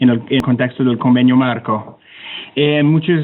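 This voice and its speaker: This is a man speaking. He has a Canadian accent. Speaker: climate technology center official. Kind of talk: webinar presentation. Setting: online webinar. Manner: halting.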